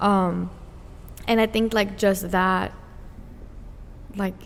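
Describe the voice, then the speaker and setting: This woman has a non-native accent. She talks with monotone, flat intonation. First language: not English. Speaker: podcast co-host. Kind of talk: casual chat.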